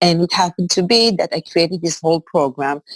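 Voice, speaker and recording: With ordinary movement in her pitch, the woman's voice sits fairly low. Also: dry, close sound with no echo. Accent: Israeli. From Israel. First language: Hebrew. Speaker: executive coach and high school teacher. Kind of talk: interview. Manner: halting.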